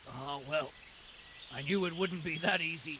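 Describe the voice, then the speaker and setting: Putting on a raspy character voice, a man speaks at a moderate pace in a fairly high pitch with fairly even intonation, over clear background noise. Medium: video game.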